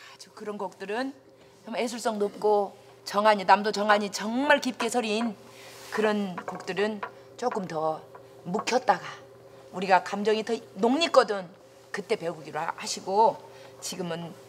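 With long, frequent pauses, a woman speaks at a fairly slow pace with ordinary pitch variation over light background noise. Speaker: folk song teacher. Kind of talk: lecture. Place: classroom.

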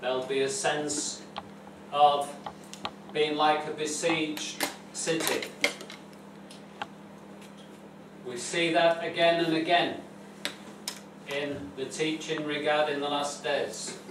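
A man speaks very slowly in a flat monotone with long, frequent pauses. Noticeable background noise and audible room echo are present. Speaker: preacher. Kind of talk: sermon. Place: church. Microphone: camera far.

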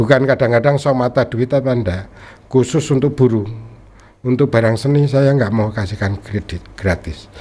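Somewhat breathy, the man's voice sits at a medium pitch. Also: ordinary pitch variation, moderate pace. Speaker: newspaper cartoonist. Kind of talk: casual interview; interview answer. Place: studio. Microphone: studio mic.

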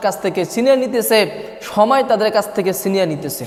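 A man speaks with a high pitch. Audible room echo and noticeable background noise surround his voice. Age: 20s. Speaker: Islamic preacher. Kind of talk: sermon.

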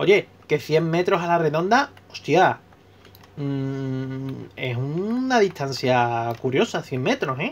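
Very wide pitch swings mark a man speaking in a fairly high register. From Spain, Seville. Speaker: gaming YouTuber. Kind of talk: casual vlog commentary while playing.

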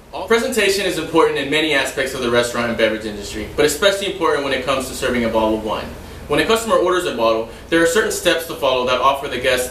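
A man talks at a very fast pace in a room with audible echo and light background noise. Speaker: server demonstrating wine service. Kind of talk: tutorial. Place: home room. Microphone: camera far.

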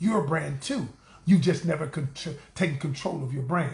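In a room with audible echo, a man speaks loudly with a bright, sharp, animated tone and lively intonation. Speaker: relationship coach. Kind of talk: live-stream talk to viewers. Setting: livestream. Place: home room. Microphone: phone near.

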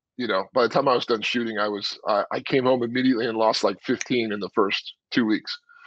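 Against a quiet background with a dry sound and no echo, a man with an American accent speaks in a medium-pitched voice. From US West Coast. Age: 50s. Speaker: former football player turned actor. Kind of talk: casual interview. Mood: relaxed, reflective. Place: home room. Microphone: earbuds.

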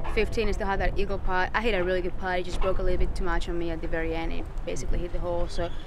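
Against noticeable background noise, a woman talks at a very fast pace with hardly any pauses, in a monotone, flat intonation and a dry sound with no echo. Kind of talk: interview answer. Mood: pleased, reflective. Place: open country.

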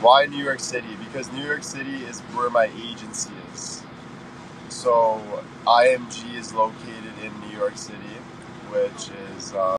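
Against noticeable background noise, a man talks at a fairly slow pace with long, frequent pauses, fairly even intonation and a dry sound with no echo. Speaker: livestreamer. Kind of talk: casual livestream chat reading comments. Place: car. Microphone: phone near.

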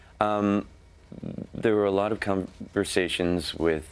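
A man is speaking. He talks with an American accent. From United States. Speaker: actor. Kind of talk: interview answer. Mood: friendly, relaxed, a bit amused. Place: studio. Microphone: lapel.

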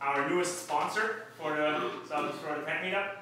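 A man talks with ordinary pitch variation over light background noise in strong room echo. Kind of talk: announcements to audience. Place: meeting room. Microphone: camera far.

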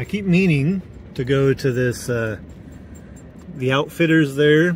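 With an American accent and ordinary pitch variation, a man speaks over light background noise, the sound dry with no echo. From Oregon, US. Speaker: travel vlogger. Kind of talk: casual vlog narration while driving. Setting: in a car. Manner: relaxed, with frequent laughs and fillers. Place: car. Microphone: phone near.

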